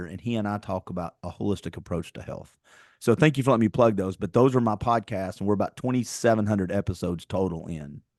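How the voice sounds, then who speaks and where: A man with a Tennessee accent speaks at a very fast pace, his loudness swinging widely. The sound is dry and close, with no echo. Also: fairly low pitch for a man, ordinary pitch variation, quiet background. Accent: Southern American, Tennessee. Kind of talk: conversational, podcast host.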